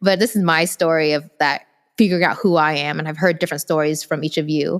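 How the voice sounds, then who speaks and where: A woman with a Vietnamese accent speaks very fast in a very deep, low voice with ordinary pitch variation, on a very clean recording with a silent background. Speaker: podcast co-host. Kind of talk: casual storytelling chat.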